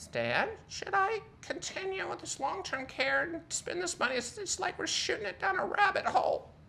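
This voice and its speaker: A woman performs a put-on character voice at an extremely high pitch, with very wide pitch swings. Clear background noise runs behind her. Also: moderate pace, hardly any pauses. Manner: worried, doubtful.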